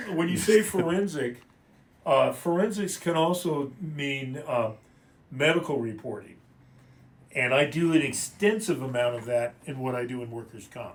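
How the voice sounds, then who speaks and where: In a normal speaking voice, a man with a fairly high pitch talks at a moderate pace, with lively intonation and big swings in loudness. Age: 60s. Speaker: attorney. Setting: livestream from a law office.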